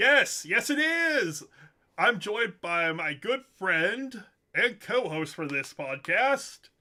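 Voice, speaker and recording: A man uses a raised, projected voice with a bright, sharp tone, speaking at a very slow pace. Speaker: streamer. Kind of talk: casual chat.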